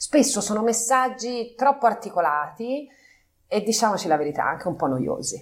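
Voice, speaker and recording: A woman's fairly high voice moves at a moderate pace with very wide pitch swings. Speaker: company partner, business executive. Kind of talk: interview. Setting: on location at company office.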